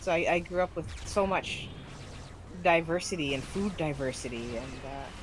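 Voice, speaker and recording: A woman's fairly low voice with ordinary pitch variation at a moderate pace, with audible room echo. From US South, Miami. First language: Spanish and Haitian Creole. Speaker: gaming streamer. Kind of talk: casual chat. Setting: live stream.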